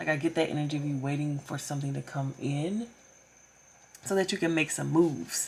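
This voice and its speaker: Somewhat breathy, a woman speaks in a very deep, low pitch with ordinary pitch variation. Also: fairly quick pace. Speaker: tarot reader. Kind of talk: tarot reading. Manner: casual, filler-heavy.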